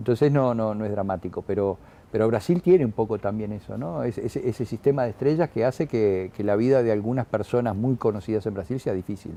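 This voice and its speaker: In a dark, mellow tone, this voice races along at a very fast pace with hardly any pauses and ordinary pitch variation. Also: man, medium pitch for a man. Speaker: actor. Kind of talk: interview. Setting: newsroom. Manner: halting, many repetitions.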